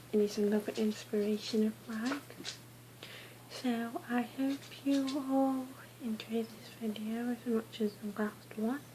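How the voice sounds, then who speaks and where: Soft-spoken and fairly even in intonation, a woman talks at a fairly slow pace with long, frequent pauses amid noticeable background noise. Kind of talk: casual talk to camera.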